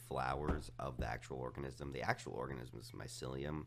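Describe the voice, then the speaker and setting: A man's voice with vocal fry, at a moderate pace. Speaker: podcast guest. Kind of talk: casual chat.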